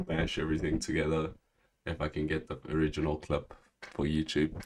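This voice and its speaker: A man's very deep, low voice at a moderate pace. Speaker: comic book streamer. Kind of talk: casual livestream talk show. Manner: halting, many fillers.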